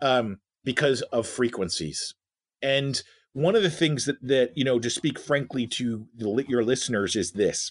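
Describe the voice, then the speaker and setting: Against a quiet background, a man uses a normal speaking voice at a fairly slow pace. His medium pitch shows ordinary variation. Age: 50s. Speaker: leadership researcher and educator. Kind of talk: interview.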